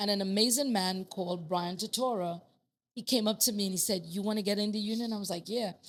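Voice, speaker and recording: A woman speaks at a very fast pace with a strong Trinidadian accent. Her tone is animated and her pitch is medium. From Trinidad and Tobago. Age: 50s. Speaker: master plumber. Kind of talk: casual chat.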